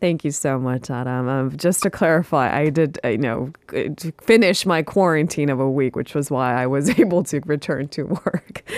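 The speech comes at a moderate pace with a dry, close sound and no echo, though noticeable background noise is present. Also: woman. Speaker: radio news host. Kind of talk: news discussion.

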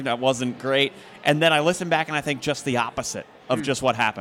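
This man has an unremarkable speaking voice with an American accent. His pitch is fairly high with ordinary variation, and he talks at a fairly quick pace. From Philadelphia. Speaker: hockey play-by-play broadcaster. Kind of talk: casual chat. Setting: live show at a brewery.

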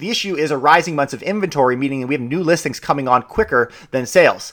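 This man talks at a very fast pace. His tone is energetic and upbeat. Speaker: real estate broker and podcast host. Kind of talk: solo podcast monologue about market news. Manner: fast talker; energetic, upbeat.

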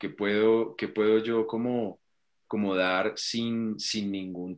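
A man's fairly low, monotone, flat voice at a very slow pace over a quiet background. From Colombia. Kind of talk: interview.

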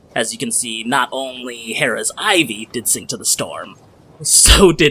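A man's voice over noticeable background noise. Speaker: podcast game master and editor. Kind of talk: tabletop role-play game narration. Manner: animated.

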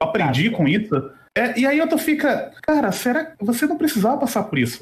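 With very wide swings in pitch, a man delivers his words at moderate speed. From Brazil, Rio de Janeiro. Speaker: podcast host. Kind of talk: casual interview. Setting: live stream.

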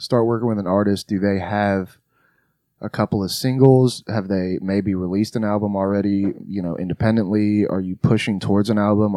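A man's fairly low voice with a Southern US accent, dark and mellow in tone, with fairly even intonation, a moderate pace and a quiet background. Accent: Southern US, picked up. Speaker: podcast host. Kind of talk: casual chat. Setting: studio.

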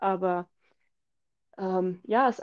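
A woman's dark, mellow tone at a fairly slow pace, with ordinary pitch variation and a quiet background. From Switzerland. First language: Swiss German (speaking German). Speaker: podcast co-host. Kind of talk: casual chat.

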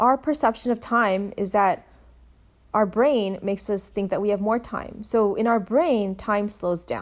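With a normal speaking voice on a very clean recording with a silent background, a woman speaks at a fairly slow pace and medium pitch with ordinary pitch variation. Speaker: pediatrician and podcast host. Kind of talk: solo podcast monologue. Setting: home recording. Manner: informal, filler words, laughs.

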